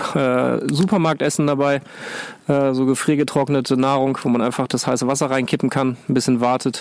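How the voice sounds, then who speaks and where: Noticeable background noise runs under this recording. A man speaks at a medium pitch in a monotone, flat intonation. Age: 40s. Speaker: climbing instructor. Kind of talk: casual chat. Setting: outdoors.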